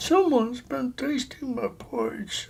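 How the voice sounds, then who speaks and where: A female-sounding voice does a put-on character voice, high in pitch for a woman and at a fairly slow pace. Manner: puzzled, accusing.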